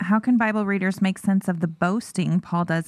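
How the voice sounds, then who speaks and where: With a normal speaking voice at a medium pitch, a woman talks in fairly even intonation, recorded very cleanly with a silent background and a dry, close sound with no echo. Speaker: church staff and podcast co-host. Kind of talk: casual Bible discussion.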